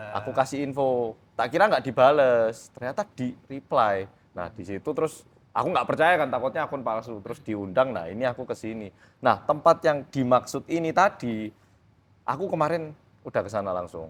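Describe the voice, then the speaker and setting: A man speaks with lively intonation at a moderate pace and a medium pitch. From South Korea. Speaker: guest, local guide for ghost hunting. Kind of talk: casual chat.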